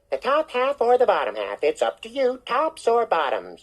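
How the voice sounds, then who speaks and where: A female-sounding put-on character voice sits at a fairly high pitch. It moves at a moderate pace. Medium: read story. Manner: smooth, persuasive, chuckling.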